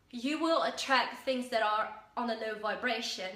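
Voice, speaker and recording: Amid noticeable background noise and audible room echo, a high-pitched woman talks at a fairly slow pace with lively intonation. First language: Dutch. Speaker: self-help vlogger. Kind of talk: casual talk to camera. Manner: halting with fillers.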